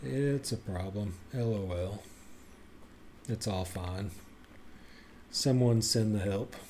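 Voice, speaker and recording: Speaking very slowly with long, frequent pauses, a man with a fairly low pitch and a dark, mellow tone sounds somewhat breathy, his pitch varying in an ordinary way. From Tennessee. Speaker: video game streamer. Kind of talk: live gameplay commentary.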